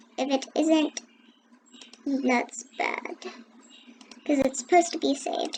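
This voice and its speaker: Very slowly and with fairly even intonation, a high-pitched woman speaks over noticeable background noise. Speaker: gaming tutorial youtuber. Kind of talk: screen-recorded tutorial. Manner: hesitant, with fillers.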